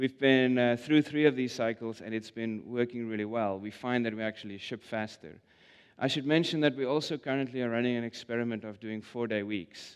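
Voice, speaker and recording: With a South African accent, a man talks at a fairly quick pace in a medium pitch, his intonation fairly even. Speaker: product manager. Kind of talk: conference talk. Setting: stage with audience. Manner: hesitant, filler-heavy.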